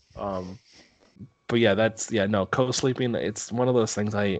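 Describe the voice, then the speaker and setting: In an American accent, a man talks at a moderate pace with fairly even intonation. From Minnesota. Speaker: podcast co-host. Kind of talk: casual chat.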